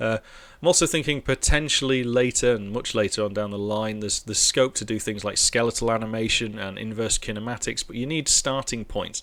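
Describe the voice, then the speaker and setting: A man speaks at a fairly quick pace with a Merseyside accent, his pitch medium and its variation ordinary. The recording is very clean, with a silent background. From northern England, near Liverpool. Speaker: programming streamer. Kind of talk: live coding stream chat. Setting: live stream. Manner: relaxed, hesitant with fillers.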